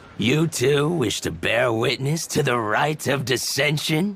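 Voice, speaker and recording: A man's put-on character voice, fairly high and fairly slow, with very even loudness and ordinary pitch variation. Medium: video game. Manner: genial, knowing.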